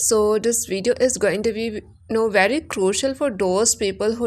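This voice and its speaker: A woman's voice sits at medium pitch and shows ordinary pitch variation. She keeps a moderate pace. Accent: Assam. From India, Assam (village). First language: Assamese. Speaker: English teacher YouTuber. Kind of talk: tutorial.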